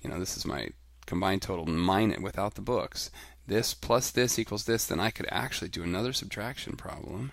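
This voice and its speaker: A man talks at a fairly quick pace with lively intonation. His fairly low voice has vocal fry. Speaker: elementary school teacher. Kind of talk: tutorial. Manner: fast.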